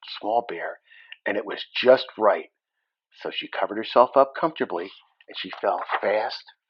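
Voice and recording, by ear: Against a quiet background, a person is reading aloud in a natural voice.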